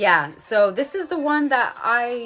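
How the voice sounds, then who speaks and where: A woman speaks with an American accent. There is music in the background. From USA, California and New York. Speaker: face yoga instructor. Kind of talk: livestream Q&A. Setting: live video stream. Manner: casual, lots of fillers.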